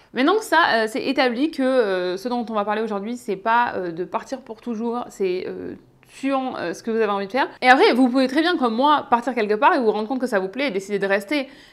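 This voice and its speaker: A woman talks at a fairly quick pace with a high pitch and lively intonation. The recording is very clean, with a silent background. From southeastern France, Ardèche. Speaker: YouTuber / expat vlogger. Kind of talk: casual vlog talk to camera. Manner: hesitant, many filler 'euh'.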